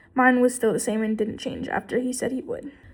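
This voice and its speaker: A woman's high-pitched voice on a very clean recording with a silent background. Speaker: vlogger. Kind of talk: casual monologue vlog. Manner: stuttering at times.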